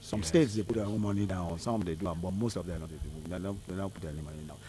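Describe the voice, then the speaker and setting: A man with a Nigerian accent, very deep and low in pitch, at a very fast pace. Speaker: politician. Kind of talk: radio interview answer.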